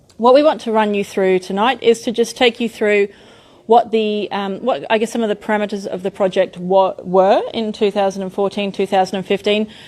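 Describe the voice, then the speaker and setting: A woman with an Australian accent, medium pitch, fairly quick pace. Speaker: architect presenting a development. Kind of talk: public meeting presentation. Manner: animated.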